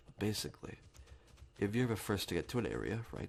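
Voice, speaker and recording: A man speaks with vocal fry. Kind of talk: ASMR gaming commentary. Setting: close microphone. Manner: soft-spoken, whispered.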